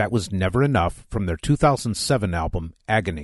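Recorded dry and close with no echo, a man talks with lively intonation. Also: quiet background. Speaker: radio host. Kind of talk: radio show presenting. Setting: studio.

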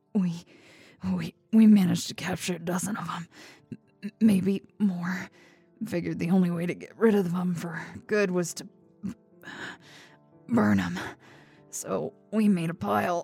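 Putting on a character voice, a woman sounds hoarse, raspy and shaky at a fairly low pitch. She goes at a fairly slow pace with long, frequent pauses, faint music playing in the background. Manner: trembling, fearful.

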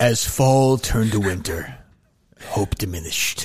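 A man speaks in a put-on character voice. His pitch is medium and his pace moderate. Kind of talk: storytelling narration. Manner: dramatic, solemn.

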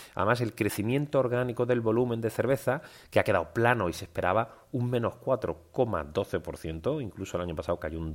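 On a very clean recording with a silent background, a man in an ordinary speaking voice talks at a moderate pace with lively intonation. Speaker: financial markets analyst and podcast host. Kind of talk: daily market news commentary.

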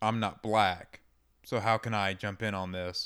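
An ordinary speaking voice from a man with an American accent, fairly low in pitch, fairly even in intonation, on a very clean recording with a silent background. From US South, Georgia (outside Atlanta). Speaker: podcast co-host. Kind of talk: casual chat.

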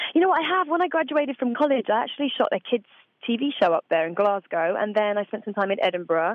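At a very fast pace, a woman speaks in a fairly high pitch with very wide pitch swings. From Essex and Suffolk, England. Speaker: voice actress. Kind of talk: interview. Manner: animated.

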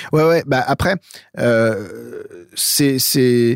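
This man speaks with ordinary pitch variation. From France, Eure-et-Loir near Chartres. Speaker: metal producer and sound engineer. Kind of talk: casual interview. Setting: remote call from his studio control room. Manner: halting, many repetitions.

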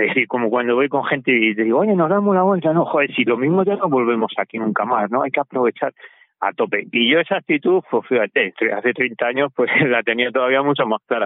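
With very even loudness, a man speaks at a fairly quick pace, using lively intonation and a medium pitch. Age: 60s. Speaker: cycling adventurer and author. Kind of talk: interview.

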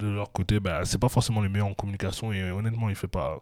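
A man speaks in a fairly low voice with a dark, mellow tone and fairly even intonation. The recording is very clean, with a silent background. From Europe. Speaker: basketball podcast host. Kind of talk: casual chat.

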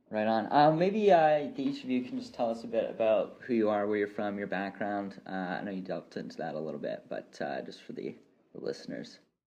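Fairly quick speech from a man with a Canadian accent and big swings in loudness. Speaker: podcast host. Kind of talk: casual interview.

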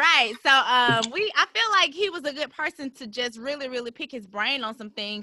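A woman's bright, sharp tone at a fairly quick pace, in a dry, close sound with no echo. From Birmingham, Alabama, US South. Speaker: podcast host. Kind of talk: casual chat; scripted intro.

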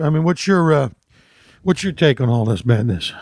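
A man's fairly quick, lively speech with an American accent. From Philadelphia. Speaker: comedian. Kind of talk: casual chat. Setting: at home on couch.

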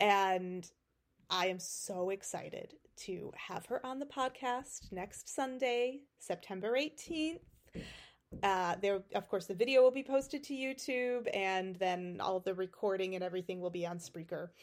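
In a very clean recording with a silent background, a woman of medium pitch speaks at a fairly slow pace with an animated tone and lively intonation. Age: 40s. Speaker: podcast host and author. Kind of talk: casual solo monologue. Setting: video recording, solo podcast. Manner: animated, laughs often.

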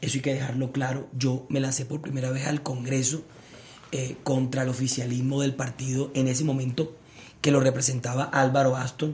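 Speech unfolds at a moderate pace. Its intonation stays monotone and flat. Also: man, medium pitch for a man. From Colombia, Barranquilla (Caribbean coast). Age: 30s. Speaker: politician, Senate candidate. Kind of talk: political debate. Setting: livestream interview.

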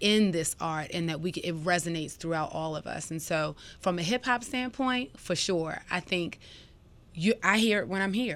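In a very clean recording with a silent background, a woman with a normal speaking voice and fairly low pitch talks at a moderate pace with lively intonation. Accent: American. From Baltimore, Maryland. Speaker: event producer. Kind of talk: casual interview.

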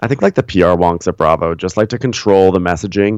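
With an American accent and an ordinary speaking voice, a man talks at a fairly quick pace and a fairly low pitch in a dry, close sound with no echo. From New York, Westchester. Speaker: podcast host and recapper. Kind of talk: casual interview chat.

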